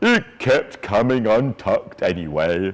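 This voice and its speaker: A man puts on a character voice at a medium pitch, speaking at a fairly slow pace. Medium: read story. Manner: cheerful, warm.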